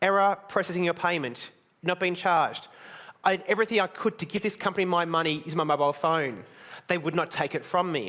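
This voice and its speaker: Bright and sharp in tone, the voice races along at a very fast pace with ordinary pitch variation on a very clean recording over a silent background. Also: man, high pitch for a man. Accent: Australian. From Australia. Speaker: conference speaker. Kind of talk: conference talk. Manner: blunt.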